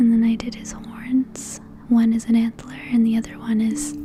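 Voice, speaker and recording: The speaker is soft-spoken and talks at a very slow pace. Music plays in the background. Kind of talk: soft-spoken voiceover narrating a digital painting process.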